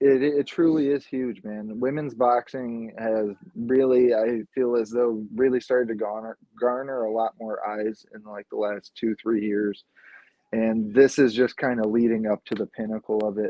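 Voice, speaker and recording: At a moderate pace, a man talks at medium pitch. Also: fairly even intonation. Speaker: podcast co-host. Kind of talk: casual chat. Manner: mumbling.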